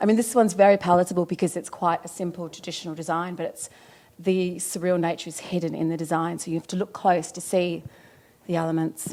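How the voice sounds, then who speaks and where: A dark, mellow voice speaks at a very fast pace with monotone, flat intonation. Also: woman, fairly low pitch for a woman, big swings in loudness. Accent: Australian. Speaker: wallpaper designer. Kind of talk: interview. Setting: design event. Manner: halting, many fillers.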